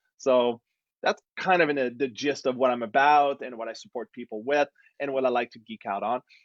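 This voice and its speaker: A man with a slight French Canadian accent speaks at a fairly quick pace and medium pitch, with fairly even intonation and big swings in loudness. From Quebec, Montreal. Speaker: relationship coach. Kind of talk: casual conversation. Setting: live stream video call.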